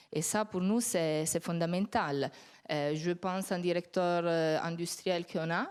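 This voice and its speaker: A woman with an Italian accent at a fairly slow pace, with fairly even intonation and very even loudness, in a very clean recording with a silent background. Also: fairly low pitch for a woman. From Italy. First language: Italian (speaking French). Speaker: company executive. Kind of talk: panel discussion.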